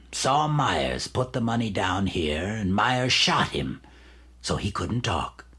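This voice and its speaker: Putting on a character voice, a man speaks fairly slowly at a fairly low pitch with very wide pitch swings. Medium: audio drama. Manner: smug, condescending.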